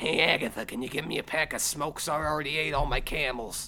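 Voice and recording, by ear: A man puts on a raspy character voice, fairly high in pitch, with fairly even intonation. He goes very fast over clear background noise.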